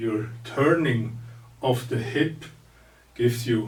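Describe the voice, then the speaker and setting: Very slowly, a man speaks with a non-native accent and a somewhat breathy voice. The room echo is audible. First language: not English. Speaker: martial arts teacher. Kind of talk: lecture. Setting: recorded seminar. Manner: halting.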